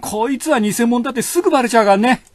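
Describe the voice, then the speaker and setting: A man talks at a high pitch while noticeable noise sounds in the background. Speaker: hairdresser. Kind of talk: casual monologue, comedic hair-salon talk. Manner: chatty, casual, colloquial.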